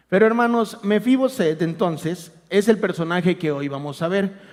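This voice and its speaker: A man speaks at a moderate pace in a high voice, with ordinary pitch variation. The recording is very clean, with a silent background. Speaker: lay preacher. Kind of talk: sermon. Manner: soft-spoken. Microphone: too quiet.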